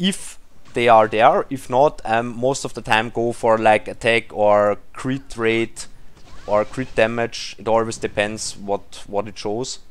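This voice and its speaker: With a non-native accent, a man talks at a very slow pace, using a medium pitch and fairly even intonation. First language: not English. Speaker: mobile game YouTuber. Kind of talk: gameplay commentary. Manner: halting, searching for words.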